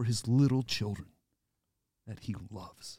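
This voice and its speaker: Speaking at a very slow pace, a man with an American accent sounds somewhat breathy, his tone dark and mellow. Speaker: priest. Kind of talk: casual chat. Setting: studio.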